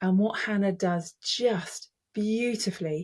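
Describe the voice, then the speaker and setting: A woman at medium pitch, somewhat breathy, with a passionate tone and ordinary pitch variation, in a very clean recording with a silent background. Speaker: public speaking coach. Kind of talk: casual talk to camera. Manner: passionate, emphatic.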